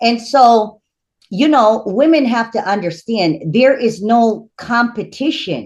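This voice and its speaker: Words come out extremely slowly, the pitch moving in a normal way. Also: woman, fairly high pitch for a woman. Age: 50s. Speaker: spiritual priestess. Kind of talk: casual interview conversation.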